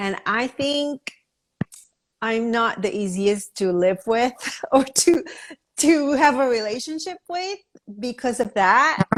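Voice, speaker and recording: A loud woman with a high pitch speaks at a very slow pace, leaving long, frequent pauses. Her intonation is lively. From Asia. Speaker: podcast host, nonprofit founder. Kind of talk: interview conversation. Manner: direct.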